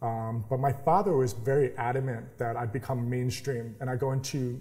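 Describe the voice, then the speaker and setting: A man's somewhat breathy, dark and mellow voice at medium pitch, with fairly even intonation and a moderate pace. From New York. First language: sign language. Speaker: startup accelerator founder. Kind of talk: interview. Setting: incubator office.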